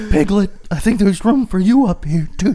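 A put-on character voice with a fairly high pitch. It moves at a fairly quick pace over light background noise. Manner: creepy, whispery.

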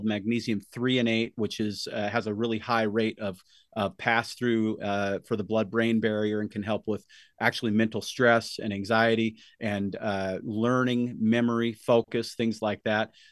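In an American accent, the speaker holds a moderate pace. The intonation is monotone and flat against a quiet background. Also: man, medium pitch for a man. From Utah, US. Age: 50s. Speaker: supplement formulator and health store owner. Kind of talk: interview.

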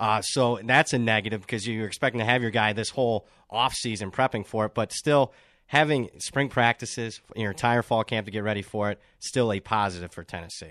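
Recorded dry and close with no echo against a quiet background, a man with a plain, everyday voice speaks at a fairly quick pace, medium pitch and ordinary pitch variation. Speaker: college football analyst and power ratings handicapper. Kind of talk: sports betting roundtable discussion.

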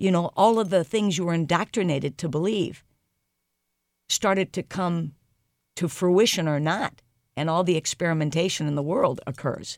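With a Midwestern American accent, a woman speaks in a fairly low voice at a moderate pace with ordinary pitch variation. She leaves long, frequent pauses on a very clean recording with a silent background. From US Midwest, St. Louis. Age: 60s. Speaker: leadership coach and speaker. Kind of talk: interview. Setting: studio.

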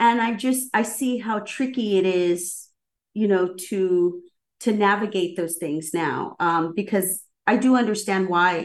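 A woman with an American accent at a fairly slow pace, medium pitch and ordinary pitch variation, over a quiet background. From Southern California. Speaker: executive director of a nonprofit writers center. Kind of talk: radio interview. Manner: halting, with many fillers.

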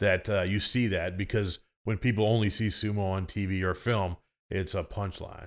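A man with an American accent and a fairly low pitch uses a plain, everyday voice, talking at a moderate pace with ordinary pitch variation on a very clean recording with a silent background. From US Midwest (Illinois). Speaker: sumo wrestler and coach. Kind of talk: casual chat. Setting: host's living room.

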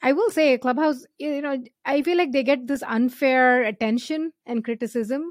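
With an Indian accent, a woman speaks at a fairly slow pace and a high pitch with ordinary pitch variation, in a dry, close sound with no echo on a very clean recording with a silent background. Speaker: startup founder and angel investor. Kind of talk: casual interview.

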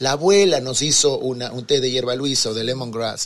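The man's delivery is moderate in pace, and his pitch varies in an ordinary way. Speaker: chocolate entrepreneur. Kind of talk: interview. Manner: halting.

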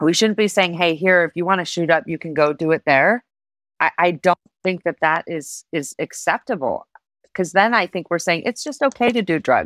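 A woman with a normal speaking voice talks in a fairly low pitch at a moderate pace, with lively intonation. The sound is dry and close with no echo, on a very clean recording with a silent background. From Reno, Nevada, US. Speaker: city mayor. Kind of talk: interview.

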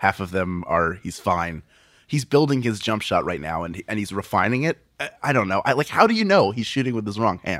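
In an American accent, a man speaks fairly quickly with a fairly low pitch and lively intonation; it is a normal speaking voice. The recording is very clean, with a silent background. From Philadelphia. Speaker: podcaster and comedian. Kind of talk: casual chat.

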